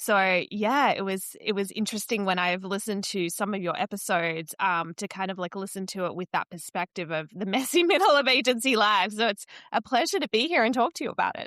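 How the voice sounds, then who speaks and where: A woman with an Australian accent talks fairly quickly at a medium pitch, her intonation lively. Her tone is bright and sharp, and the sound is dry and close with no echo. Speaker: marketing strategist and coach. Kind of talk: casual interview conversation.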